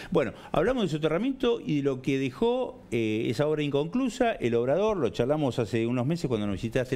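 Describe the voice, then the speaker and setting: A man talks at a very fast clip with hardly any pauses, his fairly high voice swinging very widely in pitch over a dark, mellow tone. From Argentina. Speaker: TV journalist; TV interview host. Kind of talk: TV interview. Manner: hesitant, many fillers. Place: studio. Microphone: lapel.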